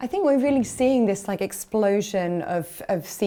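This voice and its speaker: Speaking at a moderate pace, a woman has a dark, mellow tone and a British accent. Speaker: ad tech executive. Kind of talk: interview. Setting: industry conference.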